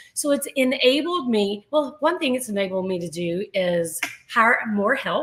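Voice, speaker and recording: Very wide pitch swings at a fairly slow pace, over noticeable background noise. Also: woman, fairly high pitch for a woman. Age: 60s. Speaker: artist and business owner. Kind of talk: interview.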